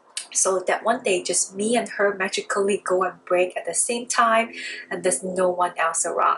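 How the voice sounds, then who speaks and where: With noticeable background noise behind her, a woman of medium pitch speaks in a Chinese accent. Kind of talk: casual talk to camera.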